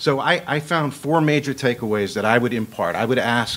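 A man speaks at a moderate pace with lively intonation. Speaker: panel discussant, Air Force veteran; panel discussant. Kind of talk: panel discussion. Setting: stage with audience. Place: hall. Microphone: podium.

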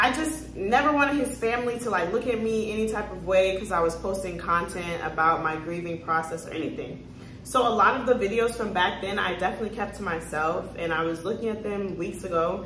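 Audible room echo and light background noise surround the recording. A woman speaks at a fairly quick pace. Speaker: lifestyle vlogger. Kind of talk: casual vlog chat. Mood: reflective, talks about grief. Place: home room. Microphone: phone near.

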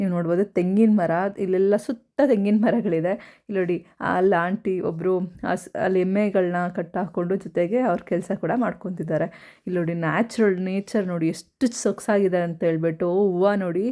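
A woman's medium-pitched voice, dark and mellow in tone, with fairly even intonation over a quiet background. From rural Karnataka, Tumakuru district (near Huliyurdurga). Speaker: vlogger. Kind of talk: vlog narration. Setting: outdoors in village farm. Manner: casual, chatty.

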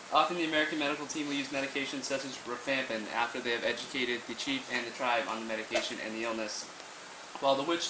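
Over noticeable background noise, a man speaks at a very fast pace with fairly even intonation. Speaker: presenter. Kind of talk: class presentation. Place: classroom. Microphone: camera far.

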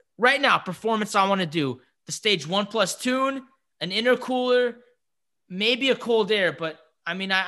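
Against a quiet background, a man talks at a moderate pace in a raised, projected voice with a bright, sharp tone and lively intonation. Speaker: car enthusiast podcast host. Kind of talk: casual podcast chat. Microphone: studio mic.

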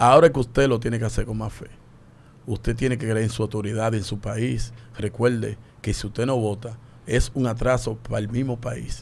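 Speaking at a moderate pace, a man with a medium pitch uses monotone, flat intonation and vocal fry. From Dominican Republic. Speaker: public figure with fans; radio guest. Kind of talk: opinion discussion. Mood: earnest, encouraging. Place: studio. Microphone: studio mic.

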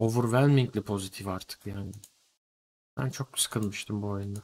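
At a moderate pace, a man speaks with a fairly low pitch and fairly even intonation. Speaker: streamer. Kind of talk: casual stream commentary. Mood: mildly critical, bemused. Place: home room.

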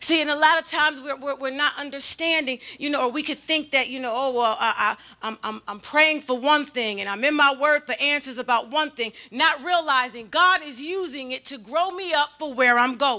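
Over a quiet background, a woman uses a raised, projected voice with a bright, sharp tone, ordinary pitch variation and hardly any pauses. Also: moderate pace. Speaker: pastor preaching. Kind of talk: sermon. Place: church. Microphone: handheld.

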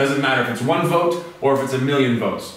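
A man with an American accent amid strong room echo and light background noise. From USA. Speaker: English teacher, Fulbright fellow. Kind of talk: lecture. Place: classroom. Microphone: camera far.

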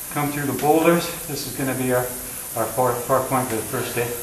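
The man speaks at a fairly quick pace, with noticeable background noise around him. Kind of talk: commentary. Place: tunnel cave. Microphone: phone near.

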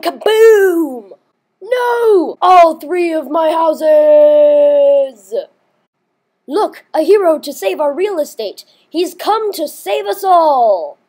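A cartoonish character voice, high-pitched and very slow. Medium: puppet. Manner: panicked, shouting.

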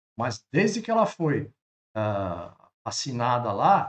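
Very wide pitch swings run through the somewhat breathy speech of a man. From Brazil. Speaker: travel trailer channel host. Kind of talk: explainer video. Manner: animated; halting. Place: home room. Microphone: webcam.

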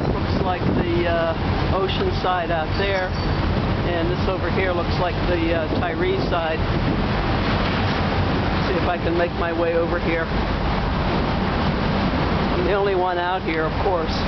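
Loud background noise fills the clip. The speech has long, frequent pauses. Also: fairly slow pace. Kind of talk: casual vlog chat. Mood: excited, eager to arrive. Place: boat. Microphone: phone near.

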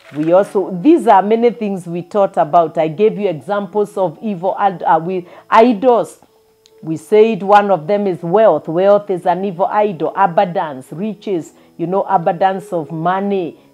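Faint music plays in the background as a woman speaks at a fairly slow pace with ordinary pitch variation. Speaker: preacher. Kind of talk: sermon. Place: home room. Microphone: lapel.

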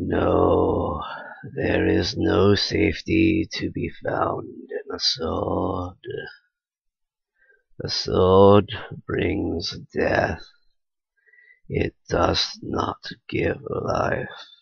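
A man puts on a raspy character voice and talks at a very slow pace, with long, frequent pauses. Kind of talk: comic dub reading. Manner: grave, solemn.

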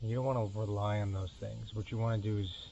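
Mumbling and somewhat breathy, a man with a fairly low pitch speaks with fairly even intonation over light background noise. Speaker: weekend kayak angler. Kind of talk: casual talk to camera. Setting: outdoors, on the water, low-quality camera mic. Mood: relaxed, friendly. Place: boat. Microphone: camera far.

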